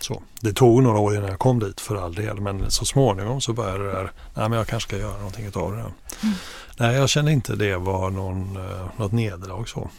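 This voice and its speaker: Audible room echo surrounds a man with a fairly low voice who talks at a fairly quick pace with fairly even intonation. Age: 50s. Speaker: media executive and family business owner. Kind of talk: interview. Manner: halting.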